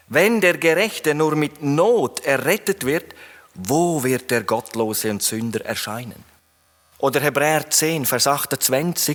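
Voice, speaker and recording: A man talks with a fairly high pitch. His pace is very slow. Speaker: preacher. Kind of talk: sermon. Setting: church hall, live audience.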